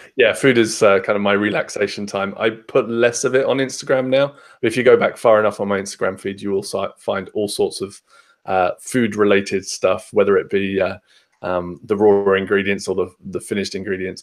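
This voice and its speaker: With a southern English accent, a man speaks at a fairly quick pace in a very clean recording with a silent background. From southern England, Hampshire. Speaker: podcast guest, tech traveller. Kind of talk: casual chat. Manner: many fillers (um, uh).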